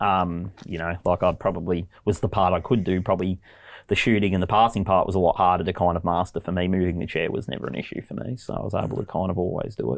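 In an Australian accent, the speaker goes at a very fast pace with fairly even intonation on a very clean recording with a silent background. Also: man, very deep, low pitch for a man. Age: 30s. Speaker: English teacher. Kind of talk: interview.

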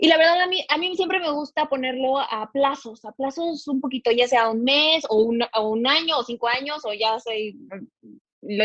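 Lively intonation from a high-voiced woman at a moderate pace. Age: 20s. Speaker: financial advisor. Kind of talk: podcast interview.

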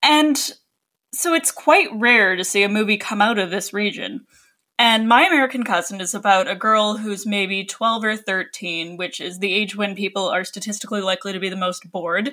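A woman with a Canadian accent speaks in a bright, sharp tone. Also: medium pitch for a woman, ordinary pitch variation, moderate pace. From Canada, British Columbia. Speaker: podcast host, film writer. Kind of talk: casual chat.

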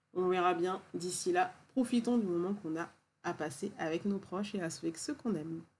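Using a plain, everyday voice, a woman talks at a moderate pace and medium pitch with ordinary pitch variation. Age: 40s. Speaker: podcast host, wellness practitioner. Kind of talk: solo podcast monologue. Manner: warm, gentle.

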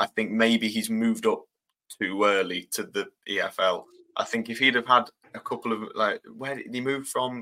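The voice has an East Midlands accent. The pace is moderate. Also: man. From England, Lincoln. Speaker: student journalist and football commentator. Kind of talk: casual chat.

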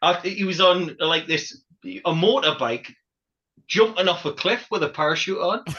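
Bright and sharp in tone, a man with a high pitch talks at a fairly slow pace with lively intonation. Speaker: podcast host. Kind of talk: casual banter.

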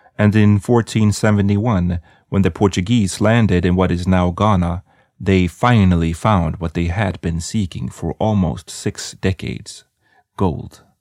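A man's very deep, low pitch at a fairly slow pace with ordinary pitch variation, dry and close with no echo, on a very clean recording with a silent background. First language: not English. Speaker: history podcast host. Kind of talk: scripted narration.

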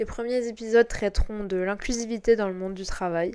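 A woman's ordinary speaking voice holds a medium pitch, a moderate pace and fairly even intonation. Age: 20s. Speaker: podcast host. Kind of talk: scripted narration. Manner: formal.

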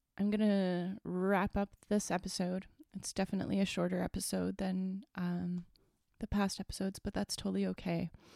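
In a Canadian accent, a dark, mellow voice moves at a moderate pace with monotone, flat intonation, captured in a very clean, dry, close recording with a silent background and no echo. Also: woman, medium pitch for a woman. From Northern Ontario, Canada. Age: 30s. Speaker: podcast host. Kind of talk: personal solo monologue.

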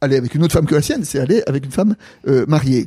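With a dark, mellow tone, a man talks at a fairly high pitch using lively intonation. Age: 60s. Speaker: theologian. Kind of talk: casual chat. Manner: halting.

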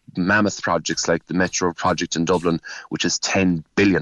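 In a Cork accent, a man with a very deep, low pitch speaks at a moderate pace in a monotone, flat intonation. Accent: Cork Irish. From Cork East, Ireland. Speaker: local politician. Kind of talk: radio interview. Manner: halting, repetitive.

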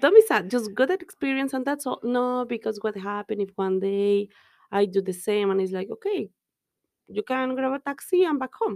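In a Mexican accent, the speaker moves at a moderate pace with lively intonation. The sound is dry and close, with no echo. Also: woman, fairly high pitch for a woman. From Mexico. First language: Spanish. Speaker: business owner and immigrant. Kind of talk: casual interview chat.

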